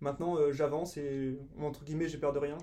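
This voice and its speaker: A dark, mellow tone carries the speech. The pace is moderate, and the intonation stays fairly even. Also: man. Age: 20s. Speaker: event organiser. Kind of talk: interview. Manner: hesitant, many fillers.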